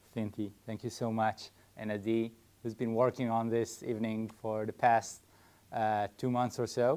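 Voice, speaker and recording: A man with an Israeli accent speaks at a moderate pace and a medium pitch. His dark, mellow tone stays monotone and flat. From Israel (Haifa). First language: Hebrew. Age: 30s. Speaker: farm co-founder, army reservist. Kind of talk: public talk. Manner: halting, with fillers and restarts.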